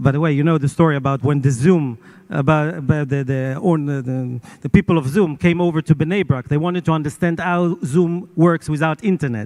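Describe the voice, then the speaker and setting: A man speaks with an Israeli accent at a fairly high pitch. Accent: Israeli Hebrew. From Israel, Jerusalem. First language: not English. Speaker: media owner. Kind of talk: panel interview. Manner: halting.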